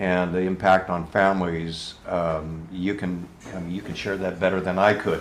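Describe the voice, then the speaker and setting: Monotone, flat intonation at a moderate pace, with noticeable background noise and audible room echo. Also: man, very deep, low pitch for a man. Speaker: political candidate. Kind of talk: town hall Q&A. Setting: room with live audience. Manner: halting, many fillers.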